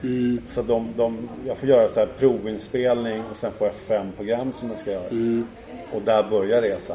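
A man's monotone, flat delivery at medium pitch and moderate pace, with noticeable background noise. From Stockholm, Sweden. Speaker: former ice hockey goalkeeper and TV goalie expert. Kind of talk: casual interview. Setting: hotel room. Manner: hesitant, many fillers.

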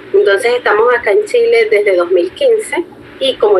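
Noticeable background noise sits behind a woman whose voice makes very wide pitch swings. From Venezuela. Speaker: marketing specialist. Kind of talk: interview.

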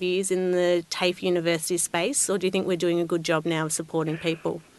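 A woman talks at a very fast pace with an Australian accent. Her pitch is medium. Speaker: podcast host. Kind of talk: interview.

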